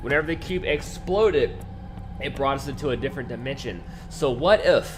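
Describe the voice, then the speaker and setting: With music in the background, a man speaks at a fairly quick pace. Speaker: gaming youtuber. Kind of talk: gameplay commentary. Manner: fast; animated.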